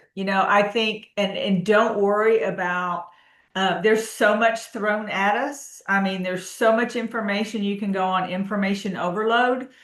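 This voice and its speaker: A woman with a medium pitch talks at a moderate pace in a plain, everyday voice. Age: 60s. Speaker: health coach. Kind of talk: interview.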